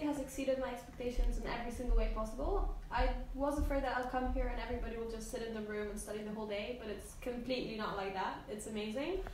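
Audible room echo and light background noise surround a woman's voice. She speaks at a very fast pace with a high pitch. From Poland. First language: Polish. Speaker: veterinary medicine student. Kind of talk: casual chat. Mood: relaxed, enthusiastic. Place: home room.

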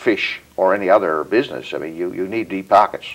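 A man speaks with a Newfoundland accent. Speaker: federal politician. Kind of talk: interview. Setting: studio. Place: home room.

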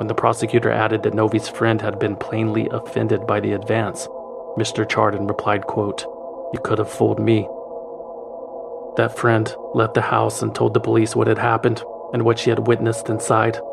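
A man keeps a moderate pace with long, frequent pauses while music plays in the background. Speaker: podcast narrator. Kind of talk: true crime narration. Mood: serious storytelling.

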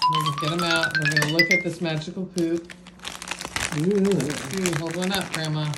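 A woman talks at a medium pace while loud background noise fills the recording. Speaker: family member filming a taste test. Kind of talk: casual narration to camera. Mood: playful, amused. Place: home room. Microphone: phone near.

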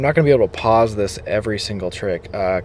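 A man's voice with very wide pitch swings and a dry sound with no echo. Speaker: skateboarding video creator. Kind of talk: reaction commentary. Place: car. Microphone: handheld.

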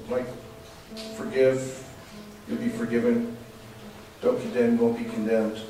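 A man speaks at a moderate pace. Audible room echo and faint music sit in the background. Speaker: preacher. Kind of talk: sermon. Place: church.

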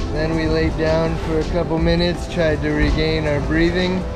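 A man's voice with ordinary pitch variation over loud music in the background. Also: dry sound with no echo. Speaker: sailor vlogger. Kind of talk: casual vlog chat. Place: boat. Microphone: phone near.

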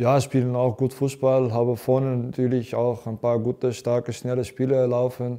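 A man with a Dutch accent talks at a moderate pace in a monotone, flat intonation with hardly any pauses, over a quiet background. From Netherlands. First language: Dutch (speaking German). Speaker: professional footballer. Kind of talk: interview. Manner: halting, many fillers. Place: studio. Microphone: lapel.

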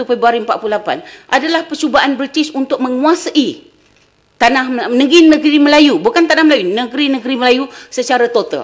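A woman speaks at a high pitch. The background is quiet. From Malaysia. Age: 60s. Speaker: history professor. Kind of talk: lecture. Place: hall.

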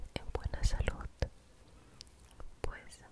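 A woman is whispering. Her words come out in a whisper throughout. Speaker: ASMR creator. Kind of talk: guided relaxation for sleep. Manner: soft-spoken, slow. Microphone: studio mic.

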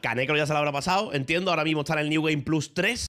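A man is speaking. The background is quiet. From Spain. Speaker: streamer. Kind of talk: casual chat. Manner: animated. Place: home room. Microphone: studio mic.

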